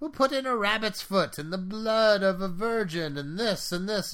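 Putting on a character voice, a man cackles in a high pitch at a moderate pace. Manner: cackling.

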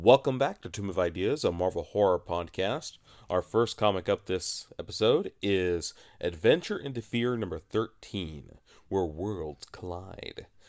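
A man with a plain, everyday voice speaks at a fairly slow pace and fairly low pitch, with lively intonation. The recording is very clean, with a silent background. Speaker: podcast co-host. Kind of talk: casual banter between co-hosts discussing comics. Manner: jokey, wisecracking.

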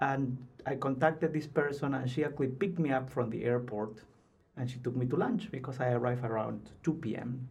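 At a fairly quick pace, a man with a Spanish accent speaks at medium pitch with ordinary pitch variation. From Peru, Lima. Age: 30s. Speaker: PhD student. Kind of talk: casual interview. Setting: studio.

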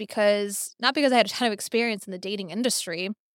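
A woman's medium-pitched voice with an American accent and fairly even intonation. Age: 30s. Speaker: tech entrepreneur and marketing executive. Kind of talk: casual interview.

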